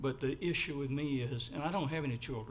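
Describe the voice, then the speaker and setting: This man talks at a fairly quick pace and medium pitch, his voice somewhat breathy and his intonation fairly even, with audible room echo around him. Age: 70s. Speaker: resident giving public comment. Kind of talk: public comment at council meeting. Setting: city council meeting.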